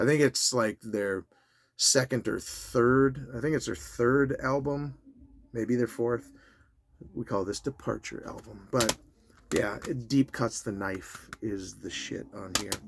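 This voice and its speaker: This man talks at a very slow pace with medium pitch. His pitch variation is ordinary. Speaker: music collector YouTuber. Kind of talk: casual video talk. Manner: halting with fillers.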